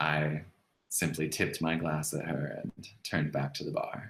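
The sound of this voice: In a put-on character voice with a fairly bright tone and a slightly husky edge, the speaker talks at a fairly slow pace with little pitch movement. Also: man, extremely low pitch for a man.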